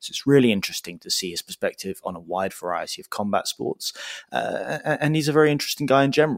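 A man talks at a very fast pace in a fairly high pitch with vocal fry, very wide pitch swings and big swings in loudness. The sound is dry and close, with no echo. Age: 20s. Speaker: podcast host. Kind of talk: casual interview chat.

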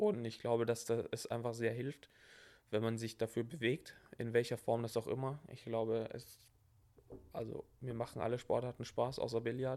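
A man speaks at a moderate pace in a medium-pitched, dark and mellow voice with monotone, flat intonation. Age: 20s. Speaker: online fitness coach. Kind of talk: casual chat.

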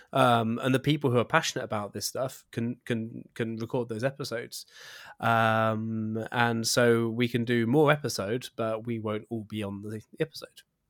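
At a moderate pace, a man speaks at a medium pitch in a very clean recording with a silent background and a dry, close sound with no echo. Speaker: podcast host. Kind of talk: casual chat. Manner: excitable.

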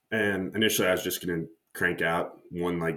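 A man speaks in a very deep, low pitch. He talks with a Midwestern American accent. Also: very clean recording, silent background. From US Midwest, Nebraska. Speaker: startup founder and CEO. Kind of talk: interview.

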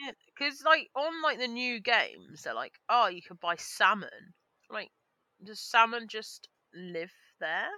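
A woman with a fairly high pitch and a bright, sharp tone talks at a fairly slow pace with long, frequent pauses, in a dry, close sound with no echo. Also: lively intonation, big swings in loudness. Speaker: podcast co-host. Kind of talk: casual comedic chat. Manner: animated, laughing.

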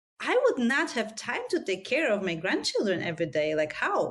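A woman with a non-native accent speaks at a moderate pace, her fairly high pitch making very wide swings. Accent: foreign. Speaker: podcast host. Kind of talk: interview.

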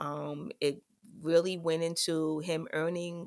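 Woman with an American accent and an ordinary speaking voice, fairly low pitch, ordinary pitch variation and a fairly slow pace. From New York, South Bronx. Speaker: college dean and podcast host. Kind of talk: solo podcast monologue. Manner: frequent filler words.

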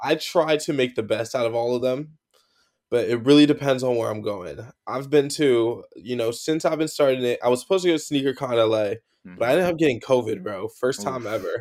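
A man with an American accent and a normal speaking voice talks at a fairly quick pace, medium in pitch with ordinary pitch variation. The recording is very clean with a silent background. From New Jersey. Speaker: sneaker content creator. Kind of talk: casual chat.

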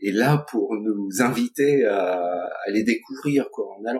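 A man talks at a very slow pace. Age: 60s. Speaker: colleague of the host, guest speaker on friendship. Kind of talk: casual chat. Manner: hesitant.

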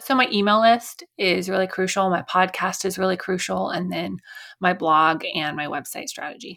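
The woman's voice has a bright, sharp tone with vocal fry. She speaks at a moderate pace on a very clean recording with a silent background. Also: medium pitch for a woman, ordinary pitch variation. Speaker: SEO consultant and podcast host. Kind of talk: interview. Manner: animated.

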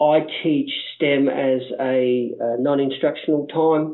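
A man with an Australian accent speaks at a fairly high pitch with fairly even intonation. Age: 50s. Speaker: primary school STEM teacher. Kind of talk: interview.

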